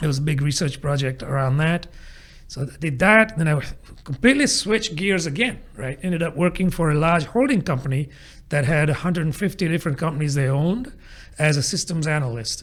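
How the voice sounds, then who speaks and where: The voice carries a British accent at a fairly quick pace. Pitch variation is ordinary, and the recording is very clean with a silent background. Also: man, fairly high pitch for a man. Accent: British-sounding. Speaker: agile coach, podcast co-host. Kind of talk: interview about career. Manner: conversational.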